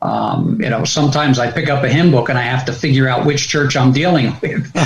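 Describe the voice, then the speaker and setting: In an American accent, a man speaks with a plain, everyday voice at a medium pitch. His pitch variation is ordinary and his pace moderate. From US Northeast, New Jersey. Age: 60s. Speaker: pastor. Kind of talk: podcast interview.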